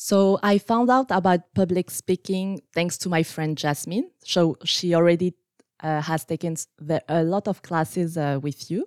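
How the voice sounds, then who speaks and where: A woman with a French accent at a fairly low pitch, fairly slow and with ordinary pitch variation, on a very clean recording with a silent background and a dry, close sound with no echo. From France. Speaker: scrum master. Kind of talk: interview.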